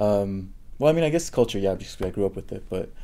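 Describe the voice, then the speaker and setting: A man's dark, mellow voice, fairly low in pitch, at a fairly quick pace. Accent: Spanish. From Southern California (Orange County) and Texas. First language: Spanish. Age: 30s. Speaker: PhD student and lecturer in Chicano studies. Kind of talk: interview. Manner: hesitant, with many fillers.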